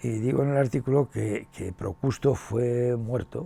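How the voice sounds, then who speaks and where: A man with a medium pitch and a dark, mellow tone speaks at a fairly slow pace, sounding somewhat breathy. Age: 70s. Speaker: education professor and author. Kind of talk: interview. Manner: halting, with many fillers and repetitions.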